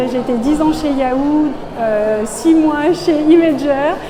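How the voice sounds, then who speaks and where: Music plays in the background and the room echo is audible. Over it, a woman speaks in a high voice. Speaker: tech program manager. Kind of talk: interview monologue. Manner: halting, many hesitations.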